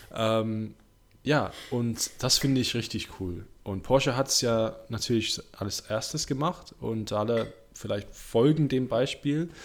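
The recording is very clean, with a silent background. The speech goes at a very slow pace. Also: man. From Warwickshire, England. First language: English (speaking German). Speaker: motorsport podcast host. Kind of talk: casual chat. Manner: halting.

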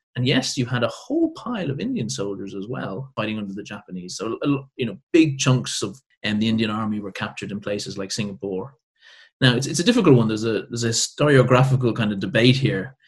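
With an Irish accent, a man talks at a very fast pace in a somewhat breathy voice, his medium pitch moving with ordinary variation. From Ireland. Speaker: military historian. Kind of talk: interview.

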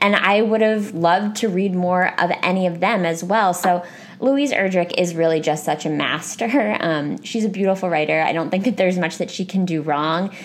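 This woman, with an American accent and an ordinary speaking voice, talks at a moderate pace and a medium pitch, with ordinary pitch variation, very even loudness and hardly any pauses. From United States. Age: 20s. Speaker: podcast host. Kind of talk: casual chat.

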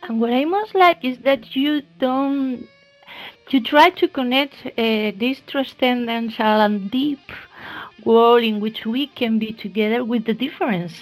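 Ordinary pitch variation runs through speech delivered at a fairly slow pace. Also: woman, high pitch for a woman. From Spain. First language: Spanish. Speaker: podcast host. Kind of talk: interview. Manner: halting.

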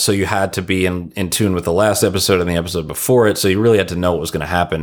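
Very deep and low, a man's voice comes through with an American accent on a very clean recording with a silent background. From US Northeast, Long Island (Ronkonkoma). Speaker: TV and film comedy writer. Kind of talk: casual chat. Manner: animated.

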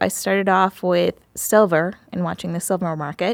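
On a very clean recording with a silent background and a dry, close sound with no echo, a woman speaks at medium pitch and a moderate pace with ordinary pitch variation in an ordinary speaking voice. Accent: American. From Queens, New York, from age two to ten. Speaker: business consultant, former attorney. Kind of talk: interview, casual chat.

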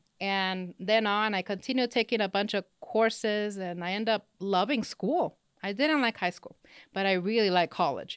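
A woman speaks at medium pitch and a moderate pace with ordinary pitch variation. The sound is dry and close with no echo, in a very clean recording with a silent background. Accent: slight Spanish. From California, partly schooled in Mexico. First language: Spanish. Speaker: business professor. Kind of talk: interview.

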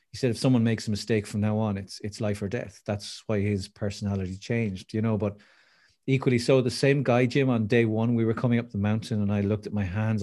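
A fairly low-pitched man with an Irish accent at a very fast pace, ordinary pitch variation, in a very clean recording with a silent background. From Ireland. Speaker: motivational speaker. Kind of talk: interview. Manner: animated.

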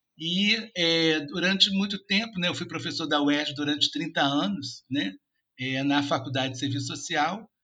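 Vocal fry runs through a man's bright, sharp, fairly high-pitched voice as he speaks with lively intonation. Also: fairly slow pace. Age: 50s. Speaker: social worker and professor. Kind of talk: interview.

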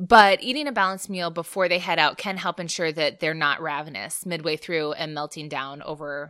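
Speaking at a moderate pace, a woman has a low pitch, a clear, smooth tone that is fairly bright, and fairly even intonation.

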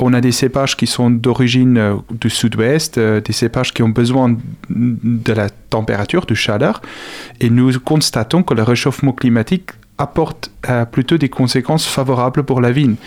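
In a South African accent, the speaker holds a moderate pace and very even loudness. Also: man, medium pitch for a man, fairly even intonation. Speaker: agronomy researcher and lecturer. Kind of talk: radio interview. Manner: halting, many repetitions.

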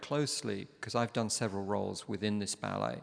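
With a London accent, a man speaks at medium pitch and ordinary pitch variation. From London, England. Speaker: ballet master, former ballet dancer. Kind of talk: live interview before an audience. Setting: opera house stage with audience.

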